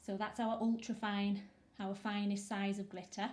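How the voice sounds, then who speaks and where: At a medium pitch and moderate pace, a woman speaks in a flat monotone with a somewhat breathy voice. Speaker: small business owner selling resin art supplies. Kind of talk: product demo talk to camera.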